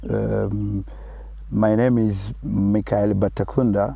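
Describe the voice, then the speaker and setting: In a French accent, a man speaks at a very slow pace. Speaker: conservation project manager. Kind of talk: interview. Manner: halting.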